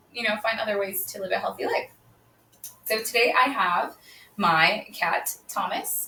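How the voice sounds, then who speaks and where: Loud and bright, a woman's sharp tone moves at a moderate pace. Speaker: yoga instructor. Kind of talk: live online yoga class intro. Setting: livestream on social media from home. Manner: projects voice loudly; casual, chatty with fillers.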